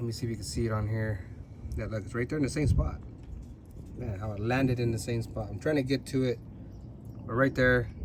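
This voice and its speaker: In a room with audible echo, a somewhat breathy man speaks very fast at medium pitch with ordinary pitch variation, yet leaves long, frequent pauses. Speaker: car enthusiast vlogger. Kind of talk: casual vlog. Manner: casual, hesitant with fillers.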